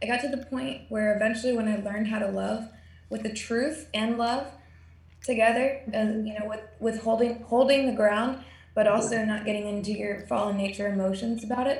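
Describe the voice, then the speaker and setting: A woman's fairly high, somewhat breathy voice, fairly quick in pace, with fairly even intonation. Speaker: prayer group participant. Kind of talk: casual chat. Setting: video call.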